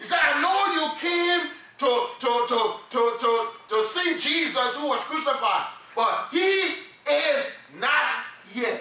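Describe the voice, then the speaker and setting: A man projects his voice at an extremely high pitch with lively intonation and very even loudness. He speaks very slowly with long, frequent pauses, over noticeable background noise. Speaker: preacher. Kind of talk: sermon. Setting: church. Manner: animated, call-and-response preaching, repeats words when emphatic.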